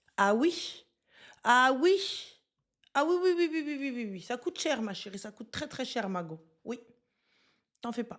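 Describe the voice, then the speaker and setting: At a fairly slow pace, a woman speaks high and animated, with very wide pitch swings, big swings in loudness and long, frequent pauses. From Moroccan and Senegalese heritage. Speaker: streamer. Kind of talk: live stream chat, reading viewer comments. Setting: live stream.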